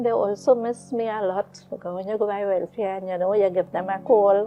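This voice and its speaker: The voice has fairly even intonation, with music playing in the background. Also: woman. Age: 60s. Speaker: incarcerated mother. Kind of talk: interview. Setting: studio.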